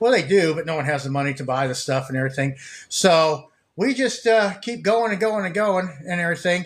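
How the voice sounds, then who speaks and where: A man speaks with a high pitch and lively intonation. His pace is fairly quick. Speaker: store owner and streamer. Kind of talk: casual live stream chat. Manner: rambling, halting with fillers; stumbling over words.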